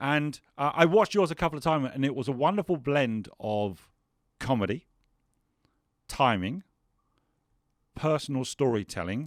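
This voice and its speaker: In a very clean recording with a silent background, a man with a fairly high pitch and lively intonation talks at a moderate pace in an unremarkable speaking voice. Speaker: podcast host. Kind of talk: podcast interview.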